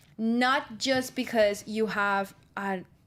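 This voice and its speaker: Someone with a Spanish accent talks with ordinary pitch variation. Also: woman. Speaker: student radio host. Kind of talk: casual radio chat.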